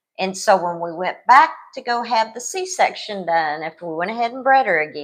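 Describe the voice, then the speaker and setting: A woman speaks in a plain, everyday voice at a moderate pace, with hardly any pauses. Her medium pitch carries lively intonation and big swings in loudness. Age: 60s. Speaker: co-host, dog breeder. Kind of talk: casual chat. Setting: livestream.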